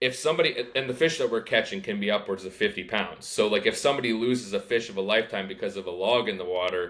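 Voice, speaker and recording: An ordinary speaking voice with a Canadian accent moves at a fairly quick pace with lively intonation. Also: man. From Canada. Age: 20s. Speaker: fishing guide. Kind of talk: casual chat.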